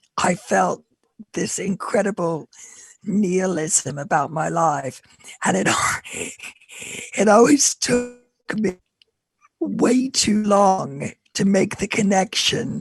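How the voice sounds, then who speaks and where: The voice moves at a very slow pace with long, frequent pauses, vocal fry, and lively intonation. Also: woman, medium pitch for a woman. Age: 60s. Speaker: panelist bereaved as a young adult. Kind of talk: panel discussion.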